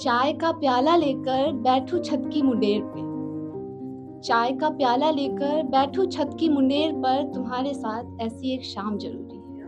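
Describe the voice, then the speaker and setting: With music in the background, a woman speaks at a high pitch with fairly even intonation. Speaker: spoken word poet. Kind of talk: live spoken word poetry at open mic.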